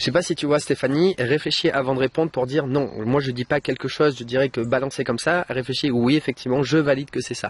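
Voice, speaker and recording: Over noticeable background noise, a man talks at a very fast pace in a medium pitch with fairly even intonation, the sound dry and close with no echo. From France, Bordeaux. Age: 30s. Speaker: online trainer and YouTuber. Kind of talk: interview and sales pitch.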